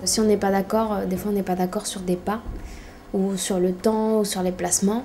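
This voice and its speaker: A woman's medium-pitched voice at a moderate pace in a monotone, flat intonation, with noticeable background noise. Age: 20s. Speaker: dancer in professional training. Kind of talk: interview.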